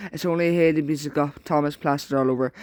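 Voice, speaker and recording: A man speaks at a fairly high pitch. The sound is dry and close, with no echo. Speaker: train fan YouTuber. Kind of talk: casual talk to camera, reading fan opinions. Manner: fast.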